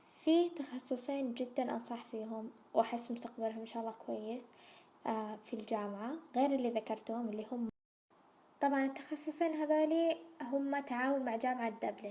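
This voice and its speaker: This woman has a high pitch and a dark, mellow tone. Her intonation stays fairly even. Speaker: YouTuber, recent university graduate. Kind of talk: casual vlog Q&A.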